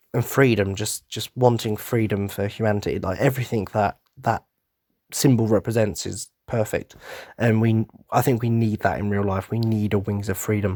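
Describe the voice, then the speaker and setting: In a British accent, a man speaks at a moderate pace and a fairly low pitch. The sound is dry and close with no echo, on a very clean recording with a silent background. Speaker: podcast host. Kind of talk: casual monologue. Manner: animated.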